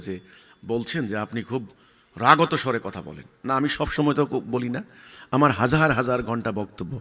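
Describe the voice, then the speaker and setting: This man speaks at a medium pitch in a bright, sharp tone, with lively intonation and big swings in loudness. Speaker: religious leader. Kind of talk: answering a question, speech-like explanation. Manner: loud, forceful; sharp, stern tone.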